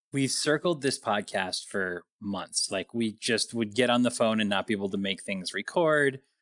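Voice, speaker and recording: A man speaks in a normal speaking voice, at medium pitch and a moderate pace with hardly any pauses. His intonation is lively, and the sound is dry and close with no echo over a quiet background. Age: 40s. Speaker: podcast host. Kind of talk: casual interview chat. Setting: phone call.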